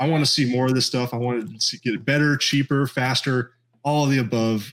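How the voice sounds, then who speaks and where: An ordinary speaking voice from a man, medium-pitched and fairly quick, with fairly even intonation. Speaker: podcast co-host guest. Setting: video call.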